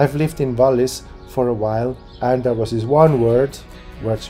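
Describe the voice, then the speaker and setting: Faint music plays in the background as a man talks. He keeps a moderate pace and fairly even intonation. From Zurich, Switzerland. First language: Swiss German. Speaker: YouTuber giving Switzerland advice. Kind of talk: casual talk to camera. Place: home room. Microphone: phone near.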